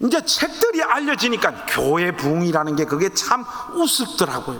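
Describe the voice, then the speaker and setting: A man raises and projects his voice in an animated tone with ordinary pitch variation, over noticeable background noise. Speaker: pastor; pastor and author speaking at teacher training. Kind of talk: sermon-style talk to church teachers.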